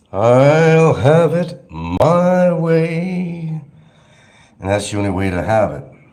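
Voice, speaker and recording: Speaking very slowly, a man with a fairly high pitch and a dark, mellow tone makes very wide pitch swings, and the room echo is audible. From New York. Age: old. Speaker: vlogger. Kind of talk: casual monologue vlog.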